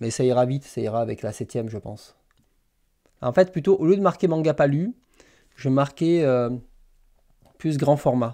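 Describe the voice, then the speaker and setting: Against a quiet background, a man with a dark, mellow tone and a fairly high pitch talks at a moderate pace with lively intonation and long, frequent pauses. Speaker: manga YouTuber hosting a live stream; manga streamer. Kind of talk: casual live stream chat with viewers. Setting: live stream. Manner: hesitant, many fillers and repetitions. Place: home room.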